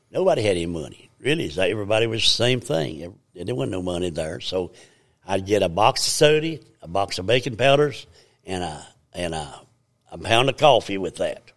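A man talks in a fairly low pitch with a strong Southern Appalachian accent. His pitch swings very widely. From US Appalachia, Virginia. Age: 80s. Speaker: church elder giving testimony. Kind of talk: testimony, storytelling. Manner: rambling, halting, repeats words.

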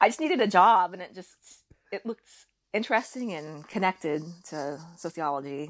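A woman with an American accent uses a normal speaking voice at a medium pitch and a moderate pace, with big swings in loudness. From raised partly in Kuwait by American family. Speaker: podcast guest, Korean adoptee and mother. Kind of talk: casual interview chat.

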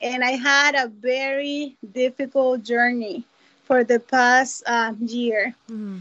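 Very slowly, a woman speaks at a high pitch with fairly even intonation. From Costa Rica. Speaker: church minister. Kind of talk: personal introduction. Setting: video call.

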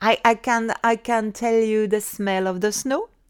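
Very slow speech from a woman, on a very clean recording with a silent background. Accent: French. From France, Savoie Alps. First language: French. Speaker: London immigrant sharing life story. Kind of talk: personal storytelling interview. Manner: halting with frequent hesitations.

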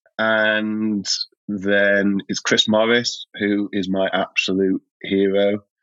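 A man with a Yorkshire accent, fairly low-pitched, very slow and monotone in his flat intonation. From Yorkshire, Sheffield, northern England. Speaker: writer and playwright. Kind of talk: casual chat. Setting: remote call.

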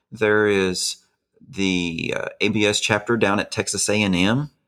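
A man with an Arkansas accent at a fairly low pitch and fairly slow pace, fairly even intonation, very clean recording with a silent background. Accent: Southern US (Arkansas). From Arkansas, rural Benton County. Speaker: pastor. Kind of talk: interview.

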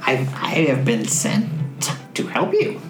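Over clear background noise, a put-on character voice speaks at a low-to-middle pitch. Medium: actual play. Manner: simple, repetitive, wheedling.

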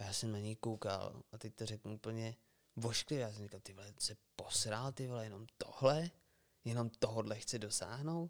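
The sound is dry and close with no echo as a man talks at a moderate pace, his medium pitch showing ordinary variation. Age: 30s. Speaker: podcast co-host. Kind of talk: casual chat.

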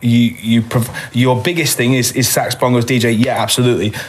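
Medium-pitched male speech under noticeable background noise. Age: 20s. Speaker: singer and venue owner. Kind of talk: casual chat.

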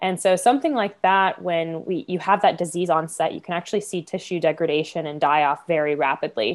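A woman with an American accent talks at a fairly quick pace in a plain, everyday voice, her pitch fairly low and its variation ordinary, with hardly any pauses. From Florida. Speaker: marine biologist. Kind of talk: casual interview.

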